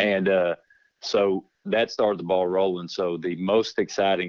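Speaking in a Texan accent, a man has a very deep, low voice. His delivery is fairly slow, with monotone, flat intonation. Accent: Texan Southern US. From Texas. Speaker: insurance agent. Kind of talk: casual interview. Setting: phone call.

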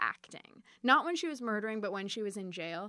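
A woman talks with lively intonation over music in the background, the sound dry and close with no echo. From Chicago suburbs. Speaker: author and podcaster. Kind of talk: interview. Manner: halting.

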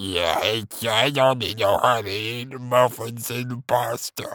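A raspy put-on character voice from a man, medium in pitch and fairly slow in pace. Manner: monstrous.

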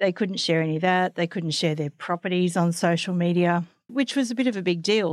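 Over a silent background in a very clean recording, a woman with an Australian accent speaks fairly quickly in a fairly low voice with ordinary pitch variation. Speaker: podcast host and magazine editor. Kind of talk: interview.

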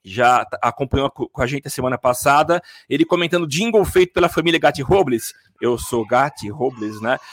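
The man's moderate-paced speech has a dry, close sound with no echo. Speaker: podcast host. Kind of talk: casual chat. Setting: home studio, live stream.

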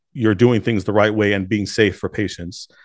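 This man has a plain, everyday voice with fairly low pitch, talking at a fairly quick pace over a quiet background. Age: 30s. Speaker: pharmacy owner. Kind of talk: casual interview.

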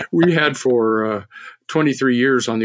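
A man's voice in an American accent, with ordinary pitch variation. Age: 70s. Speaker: author.

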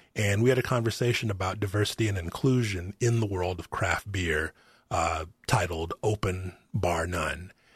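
A man with an American accent speaks at a moderate pace, his voice somewhat breathy. His pitch is fairly low with ordinary variation, over a quiet background. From Arkansas, US South. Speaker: psychology professor and podcast host. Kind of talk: casual interview chat. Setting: remote recording.

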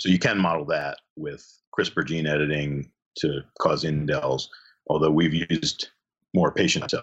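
With an American accent, a man speaks at a very deep, low pitch marked by vocal fry. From New Jersey. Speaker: neurology professor and epilepsy physician. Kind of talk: interview.

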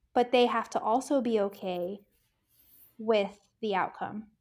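A woman speaks at a fairly slow pace with a fairly high pitch. The recording is very clean, with a silent background. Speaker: family physician. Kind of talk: interview conversation. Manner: hesitant, frequent fillers.

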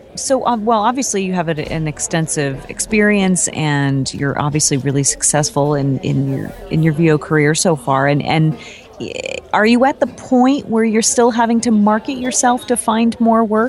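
A woman at medium pitch, moderate pace and very wide pitch swings, amid noticeable background noise. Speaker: voice actor and podcast co-host. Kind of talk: casual chat.

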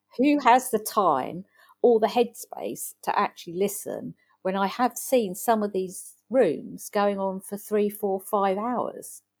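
Someone with an English accent speaks at a very slow pace. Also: woman, medium pitch for a woman, ordinary pitch variation. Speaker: digital consultant. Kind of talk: interview.

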